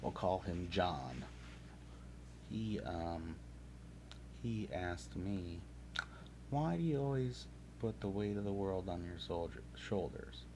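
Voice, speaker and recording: With a very deep, low pitch and very wide pitch swings, a man speaks very slowly, leaving long, frequent pauses, in audible room echo. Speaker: streamer painting miniatures. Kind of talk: casual live stream chat. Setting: live stream with game audio. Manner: hesitant, many fillers; mumbling.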